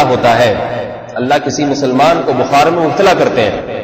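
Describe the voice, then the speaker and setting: A man speaks at a fairly slow pace with ordinary pitch variation, amid noticeable background noise and audible room echo. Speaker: Islamic preacher. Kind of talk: sermon. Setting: PA system.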